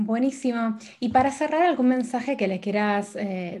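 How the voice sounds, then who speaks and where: With ordinary pitch variation, a woman talks in a voice that is somewhat breathy. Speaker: podcast host. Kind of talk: interview.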